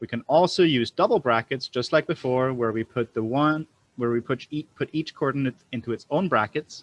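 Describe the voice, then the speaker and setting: A man with an ordinary speaking voice talks at a moderate pace in a medium pitch with ordinary pitch variation. The sound is dry and close with no echo. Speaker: programming instructor. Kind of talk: live online lecture.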